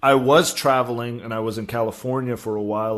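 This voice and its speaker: Speaking in an American accent, a man keeps a medium pitch and fairly even intonation. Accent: sounds American to people. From South Africa. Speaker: cannabis writer. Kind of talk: interview.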